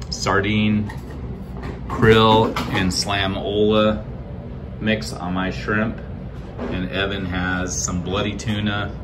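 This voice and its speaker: A man's fairly low voice at a very slow pace, with ordinary pitch variation, long and frequent pauses, and noticeable background noise. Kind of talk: casual vlog chat. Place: home room. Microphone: phone near.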